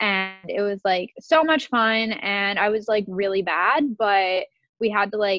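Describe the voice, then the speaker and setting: At a fairly slow pace, a woman talks in a fairly high pitch with an unremarkable speaking voice. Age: 20s. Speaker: stylist and creative director. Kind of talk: interview.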